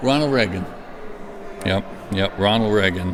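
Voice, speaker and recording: A man's fairly low voice with ordinary pitch variation over noticeable background noise. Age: 60s. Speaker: pastor; Air Force veteran. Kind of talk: interview answer.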